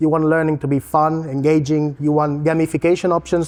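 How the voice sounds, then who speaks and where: With a Spanish accent, a man speaks at a fairly quick pace and a fairly high pitch, his intonation monotone and flat and his tone dark and mellow. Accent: non-Latvian accent, Spanish. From Spain. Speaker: learning technology consultant. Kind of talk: presentation. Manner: casual, with fillers and self-corrections.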